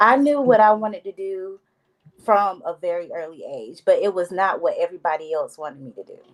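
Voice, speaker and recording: A woman with an unremarkable speaking voice talks at a moderate pace, her pitch fairly high. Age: 30s. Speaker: hairstylist. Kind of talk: panel discussion.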